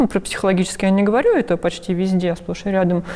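Noticeable background noise under a woman's voice of medium pitch. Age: 30s. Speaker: transgender woman sharing her experience. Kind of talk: testimony.

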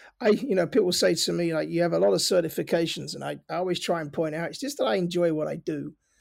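A man with a London accent talks at a very fast pace on a very clean recording with a silent background. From North London, England. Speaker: cybersecurity founder, ex-Navy. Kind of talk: casual interview.

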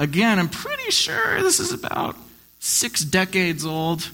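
Noticeable background noise surrounds a man with a high pitch. He speaks at a fairly slow pace in an animated tone. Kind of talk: live stage storytelling, campfire-style spooky tale told to an audience. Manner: theatrical, hushed and teasing, building suspense with playful asides; animated, pausing for effect and cueing sound effects.

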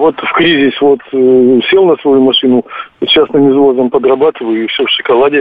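A man with a fairly high voice talks through noticeable background noise. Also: ordinary pitch variation, moderate pace. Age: 60s. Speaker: caller. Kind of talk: phone-in call. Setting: phone call.

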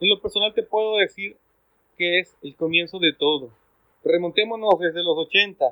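The speaker keeps a moderate pace with ordinary pitch variation. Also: man. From Ecuador. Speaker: zombie fan community guest. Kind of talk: casual chat.

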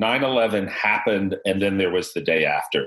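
A normal speaking voice from a man with a fairly low pitch. He keeps a moderate pace and ordinary pitch variation. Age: 50s. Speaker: podcast host. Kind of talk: casual chat. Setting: video call.

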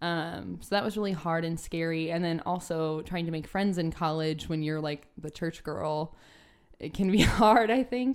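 The recording is very clean, with a silent background. A woman with an ordinary speaking voice talks at a moderate pace, her pitch fairly low. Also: ordinary pitch variation. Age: 20s. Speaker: occupational therapy student. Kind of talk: casual chat.

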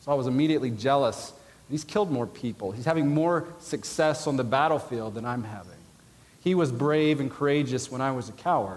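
In an American accent, a man with a fairly high pitch talks at a fairly quick pace with ordinary pitch variation and audible room echo. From US South (Georgia). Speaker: biblical counseling professor and pastor, army veteran. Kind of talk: conference lecture. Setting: conference hall with audience.

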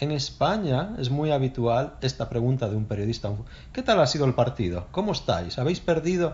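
With very wide pitch swings around a medium pitch, a man speaks at a moderate pace in a somewhat breathy voice. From northern Spain, Oviedo (Asturias). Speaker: Spanish teacher. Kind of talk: casual chat.

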